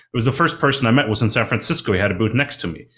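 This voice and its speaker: A man speaks with a fairly low pitch. His pace is very fast. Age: 30s. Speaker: mining finance consultant. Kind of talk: casual interview.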